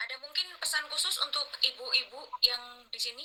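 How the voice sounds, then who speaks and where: A woman speaks at a fairly quick pace in a Papuan accent. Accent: Papuan accent put on from talking to Papuans. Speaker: online session host. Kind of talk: hosted online talk.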